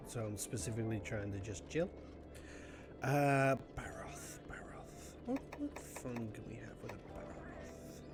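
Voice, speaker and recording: Someone whispers at a fairly slow pace while music plays in the background. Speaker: gaming streamer. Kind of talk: casual chat. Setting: live stream. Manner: soft-spoken. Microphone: maybe too quiet.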